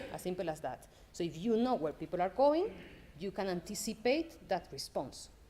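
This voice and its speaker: A woman speaks with a strong Spanish accent. Her pace is fairly quick and her intonation lively. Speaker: development data program manager. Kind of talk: conference talk.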